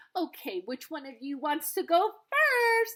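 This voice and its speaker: A woman uses a put-on, squeaky character voice, talking at a fairly slow pace in an extremely high pitch. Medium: read story.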